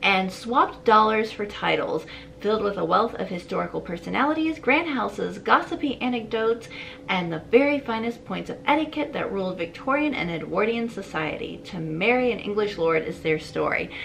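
A woman at a fairly quick pace, with light background noise. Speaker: book vlogger. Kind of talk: casual vlog chat. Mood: excited, cheerful. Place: home room. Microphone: camera far.

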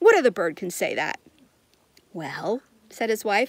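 A woman's voice swings very widely in pitch, with a dry sound and no echo. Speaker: reader of a children's book. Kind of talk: storytelling read-aloud. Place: garden. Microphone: phone near.

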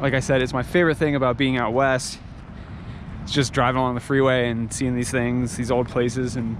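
Noticeable background noise sits behind a man's voice, with a dry sound and no echo. He speaks at a very fast pace. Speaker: travel vlogger. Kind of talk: casual vlog chat. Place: open country. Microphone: phone near.

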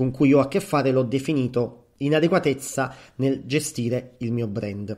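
Recorded very cleanly against a silent background, a man speaks with a fairly high pitch. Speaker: psychologist and podcast host. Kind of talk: solo podcast monologue. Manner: hesitant, with fillers.

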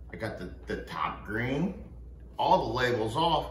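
Audible room echo surrounds a man as he speaks. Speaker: craft video host. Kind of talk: casual tutorial chat. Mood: joking, self-deprecating. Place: home room. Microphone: phone near.

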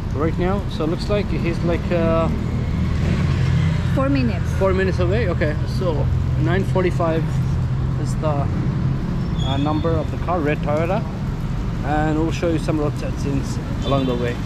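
A man's voice with long, frequent pauses, a dry sound with no echo, and loud background noise. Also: moderate pace. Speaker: travel vlogger. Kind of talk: casual vlog chat. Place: street. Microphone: phone near.

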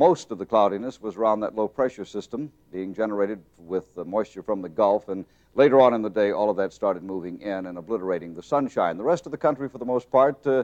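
A man talks at a very fast pace, his pitch fairly low with ordinary variation. His loudness swings widely against a quiet background. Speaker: TV presenter. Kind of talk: weather forecast commentary. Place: studio.

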